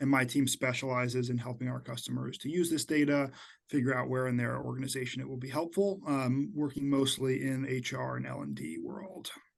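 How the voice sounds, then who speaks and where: With an American accent, a man speaks fairly quickly at a medium pitch and ordinary pitch variation. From upstate New York, US. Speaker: customer success team lead. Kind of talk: webinar discussion.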